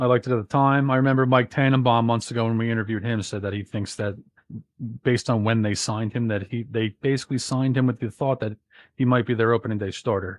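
Speaking with an American accent, the man has a medium pitch. He talks at a very fast pace with fairly even intonation. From New Jersey. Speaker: podcast co-host. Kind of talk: casual podcast chat. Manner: loud.

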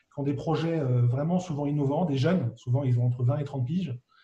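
With ordinary pitch variation, an unremarkable speaking voice is heard. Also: man. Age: 40s. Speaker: business angel investor. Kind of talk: interview.

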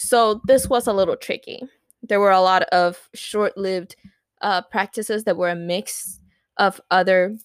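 Medium in pitch, a woman speaks at a moderate pace with ordinary pitch variation. The very clean recording has a silent background and a dry, close sound with no echo. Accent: Spanish. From Puerto Rico. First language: Spanish. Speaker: podcast co-host. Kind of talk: casual chat.

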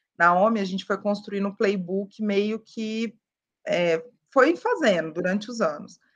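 A woman at a medium pitch and fairly slow pace, with a normal speaking voice and ordinary pitch variation. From Minas Gerais interior, Brazil. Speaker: sales enablement professional. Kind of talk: podcast interview.

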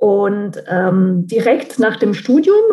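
The speaker has an Italian accent. The pitch varies in an ordinary way. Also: woman. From central Italy. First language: Italian (speaking German). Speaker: translator and marketing consultant. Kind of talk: interview.

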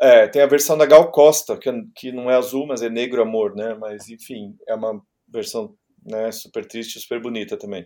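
A man speaks at a moderate pace and a medium pitch, with ordinary pitch variation and big swings in loudness. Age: 50s. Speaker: music journalist and DJ. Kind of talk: casual chat. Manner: halting.

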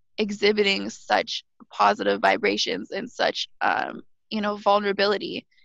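In a western Canadian accent, a woman speaks with a dry, close sound that has no echo. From Alberta, western Canada. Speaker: podcast guest. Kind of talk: casual chat. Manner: animated.

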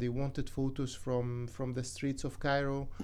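At a moderate pace, a man with an Arabic accent speaks at a fairly high pitch. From Egypt. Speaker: photographer and graduate student. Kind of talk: radio interview. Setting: radio studio.

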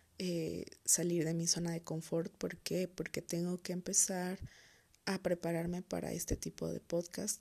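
A woman's somewhat breathy, dark, mellow voice at a fairly low pitch, moderate in pace, in a central Mexican accent, with a monotone, flat intonation. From Mexico, Toluca, State of Mexico. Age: 20s. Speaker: podcast host. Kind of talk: solo podcast monologue. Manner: hesitant, many fillers.

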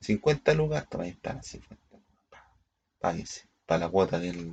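This man talks at a very slow pace with a Chilean accent. His intonation is lively. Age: 40s. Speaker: vlogger. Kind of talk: casual monologue. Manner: halting.

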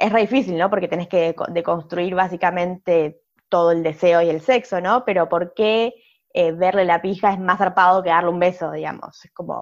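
Against a quiet background, a woman with a normal speaking voice talks at a moderate pace, her fairly low pitch and fairly even intonation paired with big swings in loudness. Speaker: podcast co-host, sociologist. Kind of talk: casual chat.

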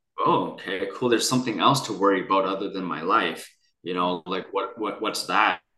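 This man talks at a fairly quick pace with a fairly low pitch and ordinary pitch variation, an unremarkable speaking voice. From Vancouver, Canada. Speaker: near-death experiencer and coach. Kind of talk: interview.

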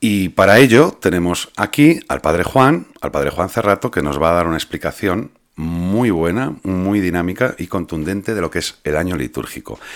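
With hardly any pauses, a man speaks at a moderate pace in a very deep, low voice with lively intonation. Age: 40s. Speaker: podcast host. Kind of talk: casual religious podcast chat. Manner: halting, repeats words.

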